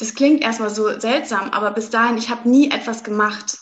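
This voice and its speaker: A woman speaks with a fairly high pitch. Her intonation is fairly even. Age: 20s. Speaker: doctor and astrologer coach. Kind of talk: interview.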